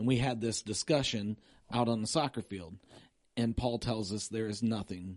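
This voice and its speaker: This man has an ordinary speaking voice, medium in pitch, with ordinary pitch variation at a moderate pace. The background is quiet and the sound is dry and close with no echo. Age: 50s. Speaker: pastor. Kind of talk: casual chat. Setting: studio.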